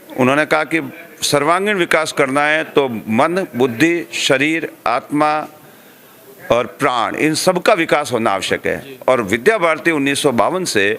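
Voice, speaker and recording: Over noticeable background noise, a man with a fairly high pitch speaks with lively intonation and very even loudness. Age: 60s. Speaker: education organization official. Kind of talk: interview. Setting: school event.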